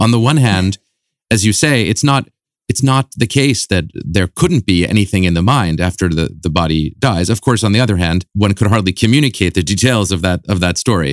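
A man at a fairly quick pace, very even in loudness, his intonation lively. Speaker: podcast host. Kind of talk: interview. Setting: studio.

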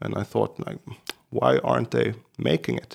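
Moderate pace from a man with a Swedish accent. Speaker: podcast co-host, guitarist. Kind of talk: casual chat. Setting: remote call.

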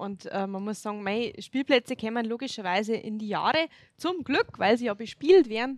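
A woman with an unremarkable speaking voice, fairly high in pitch, with lively intonation at a moderate pace and a dry, close sound with no echo. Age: 30s. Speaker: local politician, religion teacher. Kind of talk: casual interview.

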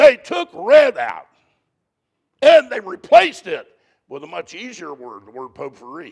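A man talks at a fairly slow pace with long, frequent pauses and big swings in loudness. The sound is dry and close, with no echo. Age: 60s. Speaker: preacher. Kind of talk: sermon. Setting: church with congregation.

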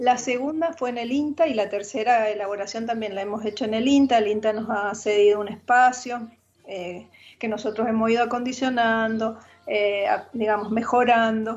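At a moderate pace, a woman talks in a normal speaking voice with a fairly high pitch and fairly even intonation. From Argentina, Mendoza. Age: 60s. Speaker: retired teacher and wine producer. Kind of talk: casual interview.

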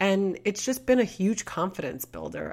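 Woman in a New York accent, moderate pace and ordinary pitch variation, on a very clean recording with a silent background. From Queens, New York. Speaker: podcast host and real estate agent. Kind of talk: casual monologue.

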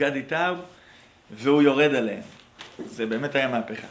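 An animated tone comes through at a moderate pace, with audible room echo and noticeable background noise. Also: man. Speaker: rabbi and teacher at a pre-army academy. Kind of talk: lecture.

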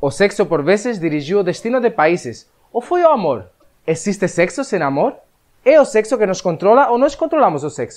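A man's high-pitched voice with very wide pitch swings at a fairly quick pace. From Spain. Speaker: web show host. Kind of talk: show introduction and interview.

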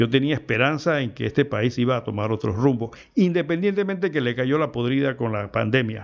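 His pitch is medium. The man's intonation is lively. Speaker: radio host and producer. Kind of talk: talk radio commentary. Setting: radio studio. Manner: animated.

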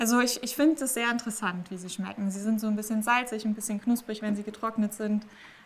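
Noticeable background noise sits behind a woman speaking. She goes at a very fast pace with fairly even intonation. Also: fairly high pitch for a woman, hardly any pauses. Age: 20s. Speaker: marine biology PhD student and research diver. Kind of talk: interview.

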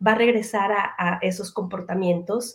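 A woman speaks with a Mexican accent. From Mexico. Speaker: educator and parenting trainer. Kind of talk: interview.

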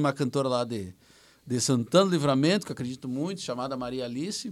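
The background is silent in this very clean recording. A man talks at a very fast pace. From Rio Grande do Sul, Brazil. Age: 40s. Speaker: musician and songwriter. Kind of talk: casual chat.

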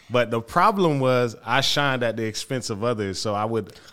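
In an American accent, a man at a medium pitch speaks at a moderate pace in a plain, everyday voice. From Florida, Haitian family. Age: 30s. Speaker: theology-trained community worker. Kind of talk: casual interview.

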